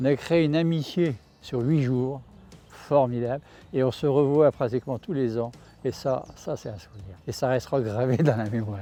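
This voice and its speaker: A man's medium-pitched voice, dark and mellow in tone, at a moderate pace with ordinary pitch variation. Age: 80s+. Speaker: retired cyclist. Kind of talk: interview testimony. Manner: hesitant with fillers.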